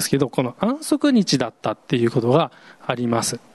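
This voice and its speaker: The recording is close and dry, without echo. A man's voice sits fairly high in pitch. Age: 40s. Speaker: pastor. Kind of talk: sermon. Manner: casual, hesitant with fillers.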